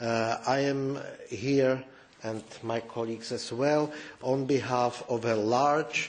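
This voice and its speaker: With a Czech accent, a man speaks at a very slow pace. His medium-pitched voice has monotone, flat intonation. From Czech Republic. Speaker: politician. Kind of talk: press conference statement. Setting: press conference room. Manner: halting, many fillers.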